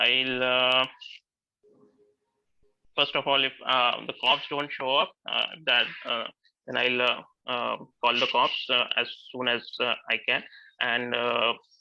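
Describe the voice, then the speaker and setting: A man talks at a medium pitch, in a monotone with flat intonation. His pace is very slow, with long, frequent pauses. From India. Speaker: graphic designer. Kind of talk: role-play answer as bank manager. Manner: hesitant, many fillers.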